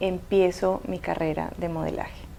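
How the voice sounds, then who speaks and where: This woman has a dark, mellow tone, a medium pitch and fairly even intonation. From Colombia (Cali), born in Havana, Cuba. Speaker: model. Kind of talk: interview. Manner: hesitant with fillers.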